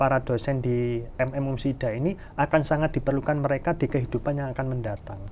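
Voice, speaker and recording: A man talks at a fairly quick pace. There is light background noise. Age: 30s. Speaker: HR manager and alumnus. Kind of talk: casual interview. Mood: friendly, smiling, animated. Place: meeting room. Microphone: lapel.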